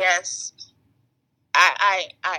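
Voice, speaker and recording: A woman with an American accent, against a quiet background. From Atlanta, Georgia, US South. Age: 20s. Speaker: guest. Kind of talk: casual interview. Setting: FaceTime call. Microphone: poor audio quality over FaceTime.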